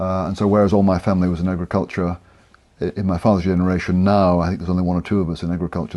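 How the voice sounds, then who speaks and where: The delivery is very fast, with monotone, flat intonation and a dark, mellow tone. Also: man. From Scotland, southwest. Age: 60s. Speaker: professor of theology. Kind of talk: interview. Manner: hesitant, many fillers.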